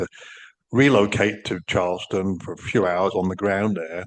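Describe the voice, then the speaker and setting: Speaking fairly quickly with an English accent, a man uses a fairly low pitch and fairly even intonation. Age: 60s. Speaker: podcast co-host. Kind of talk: casual chat. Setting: video podcast recording.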